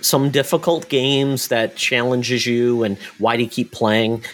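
A man's plain, everyday voice at a medium pitch and a moderate pace. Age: 40s. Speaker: video game podcast host. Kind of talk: casual chat.

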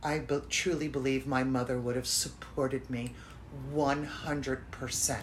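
Vocal fry runs through a woman's very slow speech. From Florida, US. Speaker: podcast host.

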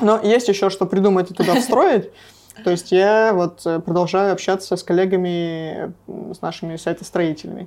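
A woman's normal speaking voice, medium in pitch, at a moderate pace with fairly even intonation. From Russia, Sverdlovsk region (Nevyansk). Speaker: music festival director. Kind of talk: casual interview.

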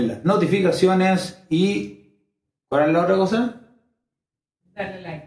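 A man with a high voice and ordinary rises and falls in pitch. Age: 30s. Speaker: YouTuber sharing personal experiences. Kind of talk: personal monologue video.

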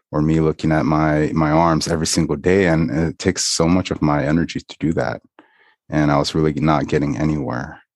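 With a dry, close sound and no echo, a man with a very deep, low pitch talks at a fairly quick pace in fairly even intonation. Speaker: podcast co-host. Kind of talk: casual conversation. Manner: reflective, with many filler words.

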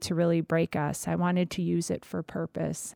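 The voice moves at a moderate pace in a very clean recording with a silent background and a dry, close sound with no echo. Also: woman. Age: 40s. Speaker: cancer survivor and patient advocate. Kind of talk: interview testimony.

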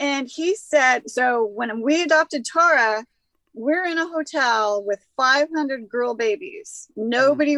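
A woman speaks in a raised, projected voice at a high pitch, with lively intonation and a dry, close sound with no echo. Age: 60s. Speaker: cannabis expert and healer. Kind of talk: casual chat.

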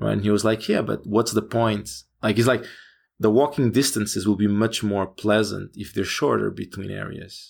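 On a very clean recording with a silent background, a man in a Portuguese accent speaks at a moderate pace with fairly even intonation. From Portugal. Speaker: game developer. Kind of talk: interview. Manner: hesitant, many fillers.

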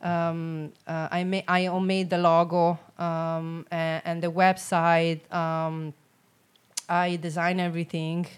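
At a very slow pace and with monotone, flat intonation, a woman with a fairly low voice speaks in an Italian accent. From Italy, Rome. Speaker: personal trainer and boxing coach. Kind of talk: casual chat. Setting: in-person studio. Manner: laughs often.

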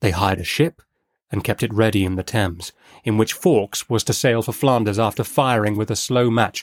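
An ordinary speaking voice with ordinary pitch variation, dry and close with no echo, in a very clean recording with a silent background. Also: man. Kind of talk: audiobook reading. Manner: measured, steady narrator's pace; formal, storytelling cadence.

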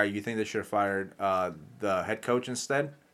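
On a very clean recording with a silent background, a man with a normal speaking voice talks fairly quickly at a fairly low pitch, with ordinary pitch variation. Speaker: podcast host. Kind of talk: casual banter. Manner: joking, profane.

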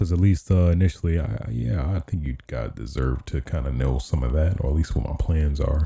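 Somewhat breathy, a man with a very deep, low pitch and a dark, mellow tone talks at a fairly quick pace. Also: ordinary pitch variation. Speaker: gaming podcaster and streamer. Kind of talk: casual podcast chat. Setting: live stream. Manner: hesitant, many fillers.

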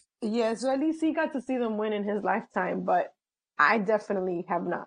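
A woman talks at a fairly quick clip with lively intonation, her medium-pitched voice carrying some vocal fry. The background is quiet. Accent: American. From New York City. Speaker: sports writer. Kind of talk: casual interview.

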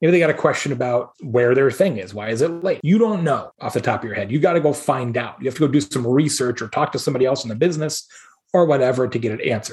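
A man's animated, somewhat breathy voice, fairly high-pitched, with an American accent, a very fast pace and lively intonation. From Arizona, US. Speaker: keynote speaker and marketing advisor. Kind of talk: casual interview.

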